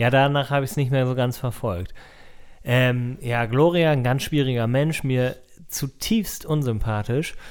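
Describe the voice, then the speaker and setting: At a fairly slow pace, a man with a normal speaking voice talks in a medium pitch with ordinary pitch variation. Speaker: podcast host. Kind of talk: casual chat. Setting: home recording, cat nearby. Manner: chatty, jokey.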